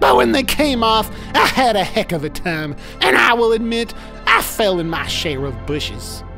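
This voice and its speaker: Against clear background music, a man uses a high-pitched cartoonish character voice at a moderate pace. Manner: earnest, plainspoken, quirky, sincere.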